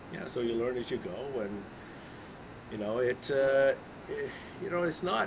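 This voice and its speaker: With a Canadian accent, a man talks at a moderate pace with lively intonation, amid noticeable background noise and audible room echo. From Canada. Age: 60s. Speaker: investment consultant and author. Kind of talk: casual interview chat. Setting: live stream interview. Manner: conversational with many fillers and restarts.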